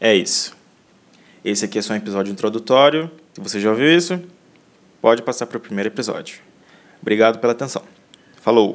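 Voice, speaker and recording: Speaking very fast at a medium pitch, a man uses lively intonation broken by long, frequent pauses. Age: 20s. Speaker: podcast host, university student. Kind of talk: solo podcast introduction.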